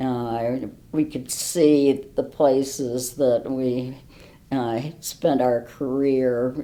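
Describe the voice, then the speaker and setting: Woman with very deep, low pitch, monotone, flat intonation and a very slow pace. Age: 80s+. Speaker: retired professor. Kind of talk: interview. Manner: hesitant, many fillers.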